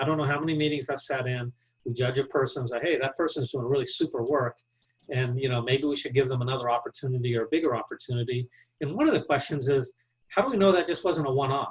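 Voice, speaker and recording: In a Texan accent, a man talks at a very fast pace. His voice is somewhat breathy. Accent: Texan American English. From Texas. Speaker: business leadership speaker. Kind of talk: Q&A answer; webinar presentation.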